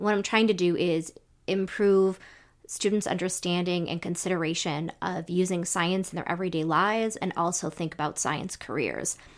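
In a very clean recording with a silent background, a woman with a plain, everyday voice speaks at a moderate pace, her pitch fairly low and her intonation fairly even. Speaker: education professor and co-host. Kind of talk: casual conversation.

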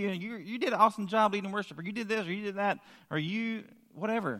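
A raised, projected voice with a bright, sharp tone speaks at a very fast pace. The recording is very clean, with a silent background. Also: man. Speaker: preacher. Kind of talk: sermon. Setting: church.

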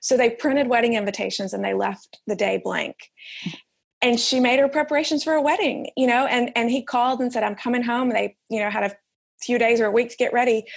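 Fairly quick speech in a Southern US accent. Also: woman. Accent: Southern US, noticeable. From Alabama. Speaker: author and editor. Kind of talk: interview conversation.

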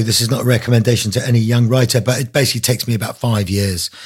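A somewhat breathy man's voice at a medium pitch. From Isle of Man. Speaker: author. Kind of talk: interview. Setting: video call.

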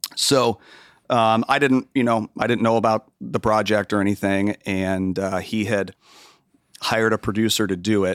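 In a very clean recording with a silent background and a dry, close sound with no echo, a man with an American accent and a normal speaking voice talks fairly slowly at a fairly low pitch with fairly even intonation. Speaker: music producer and engineer. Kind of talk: casual interview.

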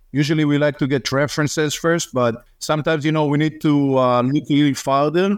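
With an Israeli accent, a man talks at a fairly quick pace and a fairly high pitch, with hardly any pauses, fairly even intonation and very even loudness. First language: Hebrew. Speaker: real estate investor's partner. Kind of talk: casual chat.

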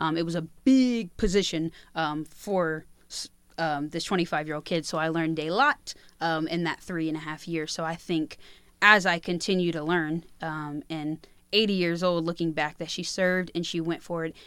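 A woman with an unremarkable speaking voice, fairly low in pitch, fairly even in intonation, at a moderate pace, on a very clean recording with a silent background. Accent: American. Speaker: radio program director and host. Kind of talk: casual interview.

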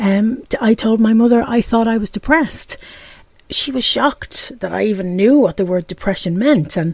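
In an Irish accent, a woman talks at a moderate pace with fairly high pitch, lively intonation and a somewhat breathy sound. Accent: Irish brogue. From Ireland, Dublin. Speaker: podcast host. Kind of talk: personal monologue podcast.

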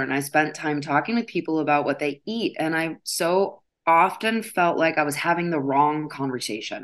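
A woman speaks in a normal speaking voice with an American accent and a fairly low pitch. The background is quiet. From US Midwest. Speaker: yoga teacher and body image educator. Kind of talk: interview.

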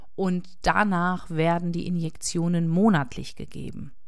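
With audible room echo, a woman speaks at a fairly low pitch and a fairly slow pace. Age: 40s. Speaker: podcaster living with MS. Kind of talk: personal monologue.

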